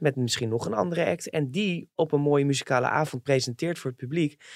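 A man's plain, everyday voice, fairly high, with lively intonation at a fairly quick pace and hardly any pauses, in a very clean recording with a silent background and a dry, close sound with no echo. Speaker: entertainment reporter. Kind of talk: casual chat.

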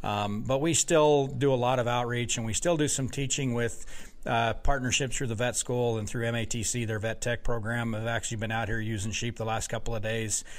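At a moderate pace and with hardly any pauses, a man of medium pitch speaks with fairly even intonation, and room echo can be heard. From Wyoming. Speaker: university sheep farm director. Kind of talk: interview. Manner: halting, many repeated words.

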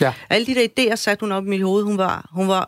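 A woman of medium pitch talks at a fairly quick pace in a plain, everyday voice. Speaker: debater and author. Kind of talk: live radio debate. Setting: studio.

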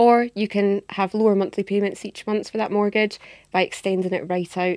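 A woman's dark, mellow voice with an Edinburgh accent, monotone and flat in intonation, at a fairly quick pace, in a dry, close sound with no echo and a very clean recording with a silent background. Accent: Scottish (Edinburgh), noticeable. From Edinburgh, Scotland. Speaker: mortgage industry adviser. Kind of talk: casual interview chat.

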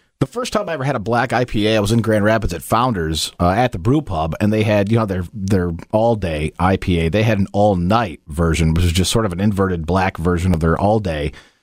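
A man with an American accent talks at a fairly quick pace in a fairly low voice. It is an unremarkable speaking voice with ordinary pitch variation. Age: 40s. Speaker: podcast co-host. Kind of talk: casual chat.

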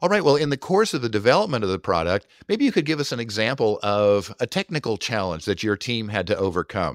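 A man talks at a very fast pace with lively intonation and hardly any pauses, in a dry, close sound with no echo and a very clean recording with a silent background. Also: medium pitch for a man. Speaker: podcast host. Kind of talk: podcast interview. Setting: virtual studio.

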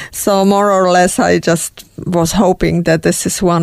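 A woman with a Czech accent, fairly low in pitch, at a moderate pace. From Czech Republic. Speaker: emigrant sharing life story. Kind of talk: interview testimony. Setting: studio.

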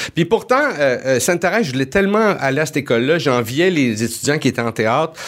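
A man's normal speaking voice, fairly high in pitch, with lively intonation and a fairly quick pace. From Montreal, Quebec. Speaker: comedy writer. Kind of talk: casual chat.

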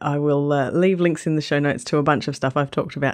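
With an Australian accent, a woman speaks in a very deep, low pitch against a quiet background. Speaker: travel podcast host and blogger. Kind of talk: podcast narration between interviews.

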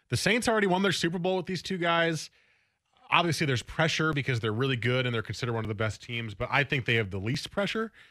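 Speaking at a very fast pace, a man uses a fairly high pitch and very wide pitch swings. His tone is bright and sharp, and the recording is very clean with a silent background. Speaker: sports radio host. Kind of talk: casual chat. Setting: studio.

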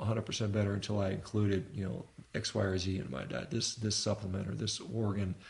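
Fairly low in pitch, a man talks at a fairly quick pace with lively intonation. He has a plain, everyday voice. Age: 50s. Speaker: physician and rowing athlete. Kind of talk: casual interview. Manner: casual, frequent fillers.

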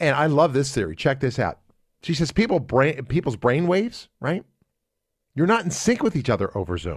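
With an American accent and vocal fry, a man speaks at a fairly high pitch and moderate pace, his pitch swinging very widely, on a very clean recording with a silent background. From United States. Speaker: radio talk show host. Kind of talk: casual talk radio.

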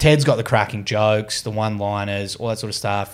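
A man speaks at a fairly quick pace in an Australian accent, his pitch fairly low. The recording is very clean, with a silent background. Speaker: sports reporter and podcast co-host. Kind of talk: casual chat. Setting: studio in Sydney.

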